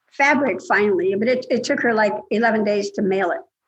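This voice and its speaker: A woman speaks with lively intonation in a fairly high, somewhat breathy voice. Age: 70s. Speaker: scam victim. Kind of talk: casual chat.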